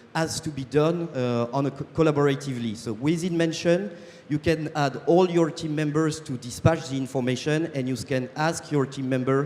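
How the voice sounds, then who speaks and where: A man with a French accent speaks at a moderate pace in a fairly high pitch. His intonation is fairly even, and there is noticeable background noise. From France. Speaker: startup co-founder. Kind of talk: sales pitch. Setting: stage with audience. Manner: halting, many fillers.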